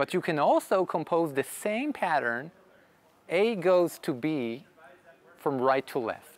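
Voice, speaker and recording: A man talks very slowly, his intonation lively. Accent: Israeli. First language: Hebrew. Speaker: software developer. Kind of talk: tech conference Q&A.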